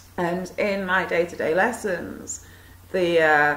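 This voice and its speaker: Noticeable background noise runs under a woman speaking at a fairly low pitch. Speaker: video blogger. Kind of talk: monologue talk to camera. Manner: hesitant, many fillers.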